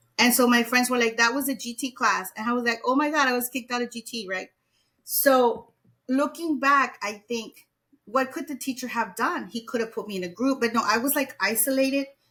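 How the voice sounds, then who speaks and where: A woman with a Spanish accent speaks fairly quickly at a high pitch. Her tone is bright and sharp, her intonation fairly even. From Mexico. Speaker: educator. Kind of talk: interview.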